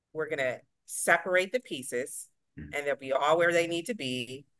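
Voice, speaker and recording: Against a quiet background, a woman speaks with a fairly low pitch and a bright, sharp tone. Her intonation is lively. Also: dry sound with no echo. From Ohio, US Midwest (military brat). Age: 30s. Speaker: software company worker, guest. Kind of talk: casual interview chat. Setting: remote call, on the road. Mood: warm, smiling storytelling. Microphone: video call.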